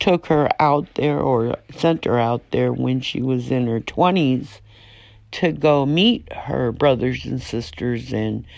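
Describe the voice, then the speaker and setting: A woman with a very deep, low voice speaks very slowly, her intonation lively. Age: 60s. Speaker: prisoner's wife vlogger. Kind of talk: casual monologue vlog.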